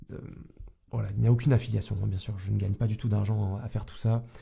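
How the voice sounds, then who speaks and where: Somewhat breathy, a man's fairly low voice has a dark, mellow tone and a monotone, flat intonation. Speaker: YouTube coach. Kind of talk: vlog monologue. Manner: casual, hesitant.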